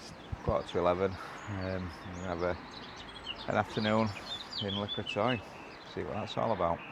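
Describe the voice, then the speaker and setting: A man at a fairly low pitch and fairly quick pace, with fairly even intonation, big swings in loudness, long, frequent pauses and noticeable background noise. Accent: Yorkshire. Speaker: campsite owner and vlogger. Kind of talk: travel vlog.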